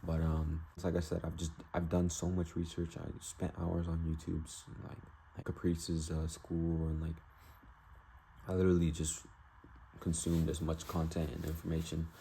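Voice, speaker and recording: A man mumbles at a moderate pace in a very deep, low voice, somewhat breathy, with a dark, mellow tone, monotone, flat intonation and long, frequent pauses. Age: young. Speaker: vlogger, online store owner. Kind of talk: casual vlog talking to camera. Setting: self-recorded video to camera. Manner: mumbling; rambling casual with fillers.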